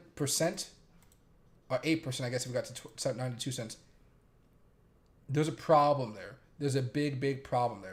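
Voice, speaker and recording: A man is speaking. His voice is somewhat breathy. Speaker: crypto and stock market streamer. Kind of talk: live market commentary stream. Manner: monotone; casual, rambling with fillers.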